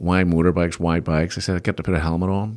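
In a very clean recording with a silent background, a man with a Belfast accent speaks at a very deep, low pitch with monotone, flat intonation. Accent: Belfast Northern Irish. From Northern Ireland, Belfast. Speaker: business executive and investor. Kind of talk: interview, casual chat. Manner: halting, many repetitions.

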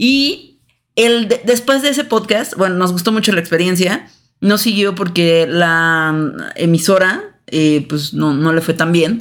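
A woman with a medium pitch speaks very slowly with lively intonation and very even loudness, on a very clean recording with a silent background. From Mexico City. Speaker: podcast co-host. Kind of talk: casual chat.

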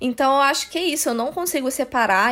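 A woman speaks over noticeable background noise. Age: 20s. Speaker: social media manager, film student. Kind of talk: casual chat.

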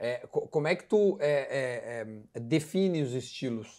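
His voice is fairly high for a man yet dark and mellow in tone, with lively intonation. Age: 40s. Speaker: podcast host. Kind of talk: casual chat. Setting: at home, grilling.

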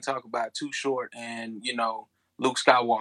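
At a fairly quick pace, a man speaks at medium pitch in a bright, sharp tone. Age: 30s. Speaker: podcast guest. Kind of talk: casual chat.

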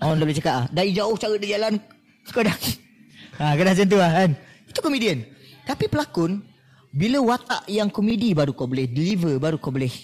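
The pitch swings very widely and the pace is very fast. Long pauses come often. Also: man, high pitch for a man. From Malaysia, Negeri Sembilan (Seremban). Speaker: actor. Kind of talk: casual chat. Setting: cafe.

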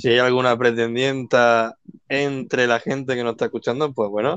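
A man's medium-pitched voice at a moderate pace, with a dry, close sound with no echo. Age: 20s. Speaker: dating show contestant. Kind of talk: casual chat. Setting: online live audio room.

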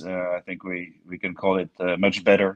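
A man with a French accent talks at a fairly slow pace. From France (Bordeaux area). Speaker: climate scientist and consultant. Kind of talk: interview. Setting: video call. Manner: halting, many fillers.

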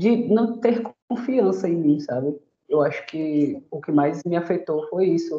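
This woman speaks fairly slowly, her pitch fairly low and her tone dark and mellow. Her intonation stays lively throughout. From Bahia, Brazil (Itabuna, south Bahia). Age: 30s. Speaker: self-defense instructor. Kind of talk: interview. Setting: video call. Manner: casual, slangy.

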